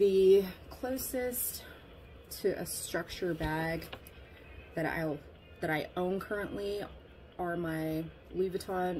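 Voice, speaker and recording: Music plays in the background as a woman speaks with ordinary pitch variation. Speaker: fashion vlogger. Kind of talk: casual vlog chat. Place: home room. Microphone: phone near.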